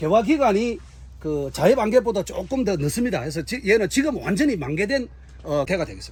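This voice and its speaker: At a fairly quick pace, a man with a high voice swings his pitch very widely. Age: 60s. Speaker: tree farmer and horticulture instructor. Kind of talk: on-site interview. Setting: outdoors on farm. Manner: halting, many fillers.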